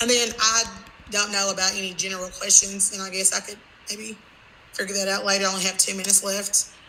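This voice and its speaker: The background noise is noticeable as a woman of medium pitch talks at a very fast pace. Her intonation is monotone and flat, while her loudness swings greatly. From Kentucky, Franklin. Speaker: teacher. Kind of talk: conference presentation wrap-up.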